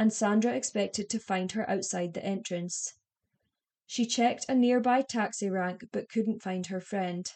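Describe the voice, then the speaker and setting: A woman with an unremarkable speaking voice, fairly high in pitch, at a fairly slow pace and with fairly even intonation. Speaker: true crime podcaster. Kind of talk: true-crime narration, scripted-sounding and factual. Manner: measured, even and serious; clear and formal, telling the case step by step.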